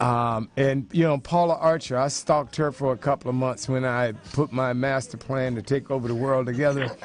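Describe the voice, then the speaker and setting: A man talks at a fairly quick pace with hardly any pauses, his pitch medium. Noticeable background noise runs underneath. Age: 50s. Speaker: talk show host. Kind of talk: casual chat. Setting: studio. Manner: animated.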